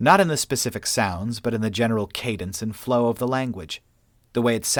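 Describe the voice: Text read aloud plainly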